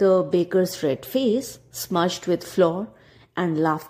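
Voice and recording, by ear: Natural reading aloud with ordinary pitch variation.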